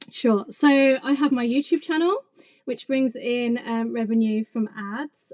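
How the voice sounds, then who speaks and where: A woman with an English accent speaks at a fairly slow pace in a high pitch, with ordinary pitch variation. The sound is dry and close, with no echo. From England. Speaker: craft business owner and YouTuber. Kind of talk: podcast interview.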